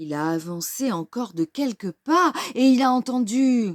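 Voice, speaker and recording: A woman puts on a character voice at a fairly high pitch with very wide pitch swings, speaking at a moderate pace. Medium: read story. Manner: gloating, menacing.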